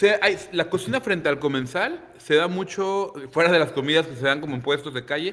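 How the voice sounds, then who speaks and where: A man with an unremarkable speaking voice talks at a moderate pace and a fairly high pitch, with ordinary pitch variation. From Manzanillo, Colima, Mexico. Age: 30s. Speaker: chef and restaurant owner. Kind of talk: casual interview.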